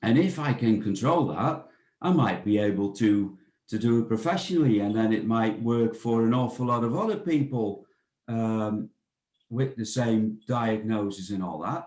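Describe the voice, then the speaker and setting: Using a Dutch accent, a man of medium pitch speaks at a moderate pace with ordinary pitch variation. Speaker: bird of prey centre director. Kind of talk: interview. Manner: halting, many fillers and repetitions.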